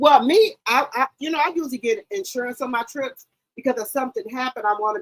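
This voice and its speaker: A loud woman talks at a fairly quick pace with very wide pitch swings. The sound is dry and close, with no echo. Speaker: YouTube live streamer, gossip commentator. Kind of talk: casual live stream chat. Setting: live stream.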